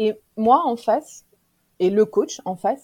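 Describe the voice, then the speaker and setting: Somewhat breathy, a woman speaks in a fairly high pitch with a dark, mellow tone and ordinary pitch variation. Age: 40s. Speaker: professional coach and trainer. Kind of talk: casual interview chat.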